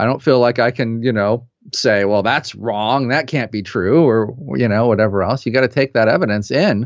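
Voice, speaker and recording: Ordinary pitch variation and a moderate pace in a man's medium-pitched speech. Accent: American. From US Midwest, Peoria, Illinois. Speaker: consciousness researcher. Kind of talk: interview conversation. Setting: video call.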